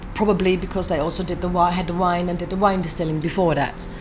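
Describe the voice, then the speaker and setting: A woman's fairly low-pitched voice in a Dutch accent, with audible room echo and noticeable background noise. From southern Netherlands. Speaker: distiller. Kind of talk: interview. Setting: convention.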